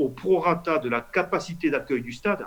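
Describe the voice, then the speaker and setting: A man speaks at a fairly slow pace. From Toulouse. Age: 50s. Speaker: politician, member of parliament. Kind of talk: interview answer.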